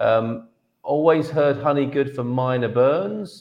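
A man speaks in a plain, everyday voice with ordinary pitch variation. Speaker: live show host. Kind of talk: casual livestream chat. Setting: video livestream from separate rooms.

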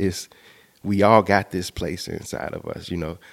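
The voice moves at a moderate pace with a flat, monotone intonation. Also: man. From Chicago, South Side. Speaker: multimedia artist and clothing entrepreneur. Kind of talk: interview.

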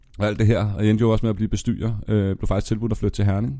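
This man talks very fast in a dark, mellow tone. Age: 20s. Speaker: nightlife worker turned banker. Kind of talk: casual chat. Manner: animated; halting.

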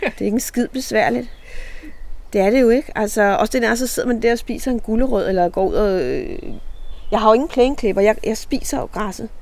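Fairly quick and lively in intonation, a woman speaks with a fairly high pitch in an unremarkable speaking voice. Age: 60s. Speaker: reality TV participant and author. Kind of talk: casual interview. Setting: outdoors in a garden.

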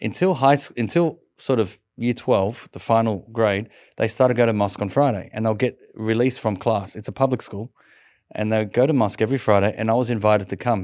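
A man with an Australian accent at a medium pitch and a fairly quick pace. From Sydney, Australia. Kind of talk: interview testimony.

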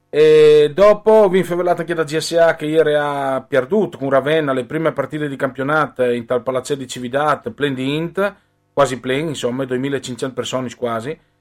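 A man speaks in a plain, everyday voice at a moderate pace, his pitch fairly high with ordinary variation. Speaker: sports radio host. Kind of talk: radio sports talk.

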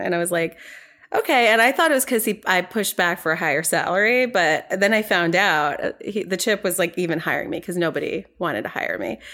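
A woman with an American accent, a bright, sharp tone, lively intonation and a very fast pace. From New York. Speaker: financial company founder. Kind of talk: interview.

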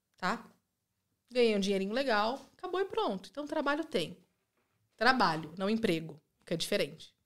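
A woman speaks at a moderate pace, with long, frequent pauses. Her pitch swings very widely. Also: fairly high pitch for a woman. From interior of São Paulo state, Brazil (Rio Claro). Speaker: immigrant mother. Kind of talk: casual chat.

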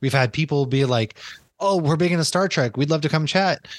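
A man with an ordinary speaking voice and an American accent talks at a fairly quick pace with lively intonation. The sound is dry and close with no echo over a quiet background. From Massachusetts. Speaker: podcast host. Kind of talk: casual chat.

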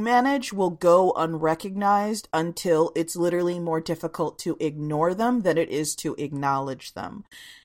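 At a fairly slow pace, a woman speaks in an unremarkable speaking voice with fairly low pitch, on a very clean recording with a silent background. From Washington DC suburbs. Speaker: comics publisher. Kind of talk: casual chat.

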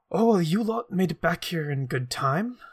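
High-pitched put-on character voice from a man, moderate in pace. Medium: actual play. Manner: curt, stern.

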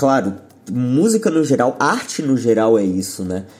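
A man's voice carries a dark, mellow tone. He speaks at a fairly slow pace. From Brazil, São Paulo city. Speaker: rock musician. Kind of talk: interview.

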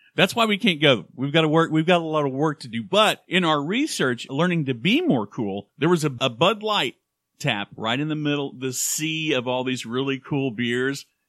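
A man with an American accent and an unremarkable speaking voice talks at a moderate pace with hardly any pauses. His fairly high pitch moves with lively intonation. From Oklahoma (Claremore). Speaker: podcast co-host. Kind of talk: casual chat.

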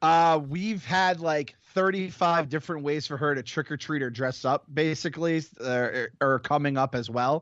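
Speaking in a normal speaking voice, a man talks fairly high at a moderate pace, with ordinary pitch variation and hardly any pauses. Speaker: podcast co-host. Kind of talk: casual chat.

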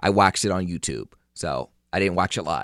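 A man's very deep, low voice at a moderate pace, on a very clean recording with a silent background and a dry, close sound with no echo. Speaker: podcast host. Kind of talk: casual solo podcast monologue. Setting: home recording in living room or bedroom. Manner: loud, projecting.

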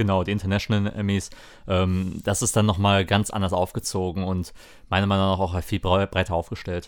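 At a moderate pace, the delivery stays monotone and flat on a very clean recording with a silent background. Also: man, very deep, low pitch for a man. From Lower Rhine, western Germany. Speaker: podcast co-host. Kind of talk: casual chat.

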